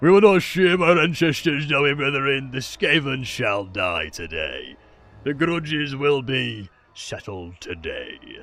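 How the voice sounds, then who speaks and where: In a put-on character voice, a man speaks at a fairly slow pace with a fairly high pitch. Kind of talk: archaic, battle speech. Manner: gruff, defiant, commentating.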